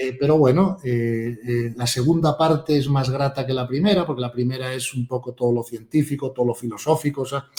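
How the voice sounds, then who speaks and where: A man at medium pitch, fairly quick and fairly even in intonation, hardly any pauses, with noticeable background noise. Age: 60s. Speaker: author and spiritual teacher. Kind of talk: interview conversation.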